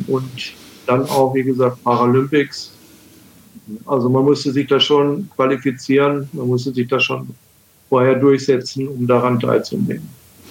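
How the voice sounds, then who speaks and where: Pausing long and often, a man at medium pitch talks at a moderate pace in a flat monotone. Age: 60s. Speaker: wheelchair user and former Paralympic table tennis player. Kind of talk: casual interview.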